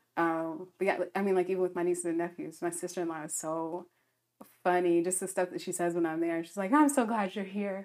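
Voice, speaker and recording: This is an ordinary speaking voice, from a woman with a fairly low pitch and ordinary pitch variation. She goes at a fairly quick pace on a very clean recording with a silent background. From US South, Alabama. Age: 30s. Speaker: podcast guest. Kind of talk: casual chat.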